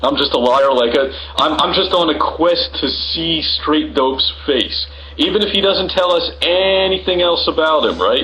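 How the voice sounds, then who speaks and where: Against noticeable background noise, a man speaks with very even loudness. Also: moderate pace. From not England, ethnically English. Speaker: live-stream host arguing with viewers. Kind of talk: heated debate. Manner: animated; halting.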